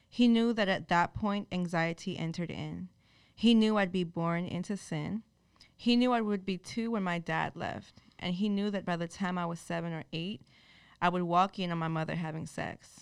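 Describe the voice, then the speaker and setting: The recording is very clean with a silent background as a woman uses a normal speaking voice, fairly low in pitch, at a moderate pace with ordinary pitch variation. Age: 20s. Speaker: spoken word poet. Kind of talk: spoken word poem, performed with a preacher's fervor. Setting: stage with audience. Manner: intense, rhythmic, emotionally charged.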